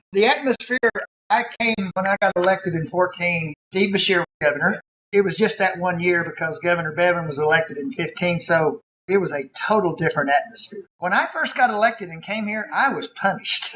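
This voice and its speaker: With an American accent, a man projects a raised voice at a high pitch, keeping ordinary pitch variation and a fairly quick pace. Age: 60s. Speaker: pastor and state legislator. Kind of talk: panel talk with Q&A.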